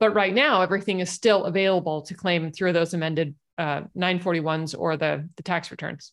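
Over a quiet background, a woman with an ordinary speaking voice talks at a fairly quick pace with hardly any pauses, her fairly low voice keeping a fairly even intonation. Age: 40s. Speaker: tax credit specialist. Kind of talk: interview; casual chat.

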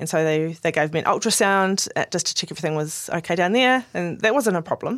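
On a very clean recording with a silent background, a woman with a New Zealand accent talks very fast at a fairly low pitch, with lively intonation and hardly any pauses. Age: 40s. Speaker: podcast host sharing her cancer story. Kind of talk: personal testimony in casual chat.

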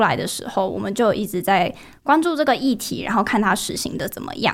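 A woman with an ordinary speaking voice, fairly high in pitch, at a fairly quick pace. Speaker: university student. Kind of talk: podcast interview.

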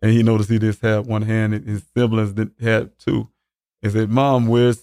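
Speaking in a South Carolina accent at a medium pitch, a man moves at a fairly quick pace in a dry, close sound with no echo. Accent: South Carolina Southern US. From US South, Columbia, South Carolina. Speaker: father of a missing man, military veteran. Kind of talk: interview about a missing son. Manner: halting, many fillers.

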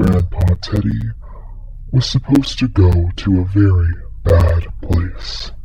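Amid clear background noise, a man puts on a booming character voice, very deep and low in pitch, at a fairly slow pace.

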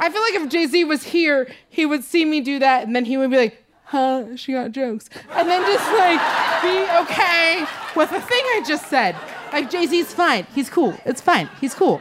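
A woman with an American accent talks at a high pitch with lively intonation. Noticeable background noise runs under her voice. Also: moderate pace. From Seattle, Washington. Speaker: stand-up comedian. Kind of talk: stand-up. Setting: stage with audience.

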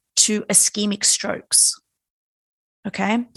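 With an Australian accent, a woman speaks at medium pitch and a moderate pace. The background is quiet, and the sound is dry and close with no echo. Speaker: neurophysiologist. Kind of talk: interview.

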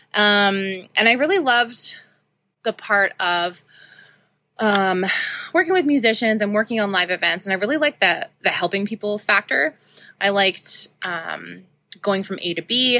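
A woman with a Canadian Prairies accent and a bright, sharp tone speaks at a medium pitch and a moderate pace, with ordinary pitch variation and long, frequent pauses. The recording is very clean with a silent background and a dry, close sound with no echo. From Saskatoon, Saskatchewan, Canada. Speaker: podcast host, shop owner. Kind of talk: personal monologue. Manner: casual, many filler ums.

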